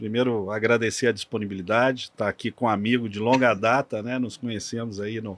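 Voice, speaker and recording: Speaking in a monotone, flat intonation, a man keeps a medium pitch and a fairly quick pace. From Minas Gerais, Brazil. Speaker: energy sector engineer. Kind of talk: podcast interview.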